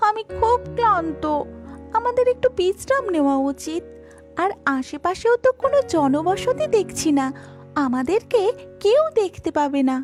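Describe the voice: A cartoonish character voice, female-sounding and extremely high, with very wide pitch swings, a moderate pace and clear music in the background.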